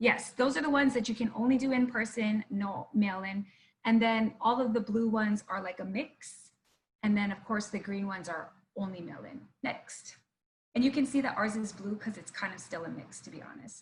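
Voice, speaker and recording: Her voice sits fairly high for a woman and is somewhat breathy, with ordinary pitch variation. Its loudness swings widely. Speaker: political candidate. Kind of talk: presentation. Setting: live web broadcast. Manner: fast; animated.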